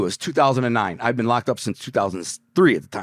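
In an animated tone, a man with an American accent swings his pitch very widely on a very clean recording with a silent background. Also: dry, close sound with no echo. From Detroit, Michigan, US. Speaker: former mobster turned author. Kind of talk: storytelling interview.

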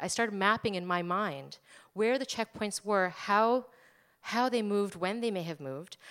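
A woman speaks at a medium pitch. She has a New Jersey accent. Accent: American, New Jersey. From New Jersey, US. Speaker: archaeologist and anthropology professor. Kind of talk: live storytelling on stage.

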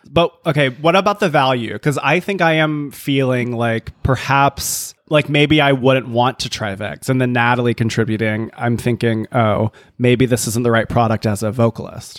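A man with a plain, everyday voice speaks at a medium pitch and a moderate pace, with ordinary pitch variation, hardly any pauses, and a dry, close sound with no echo. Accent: American. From New Jersey. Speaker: podcast co-host. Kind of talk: casual chat.

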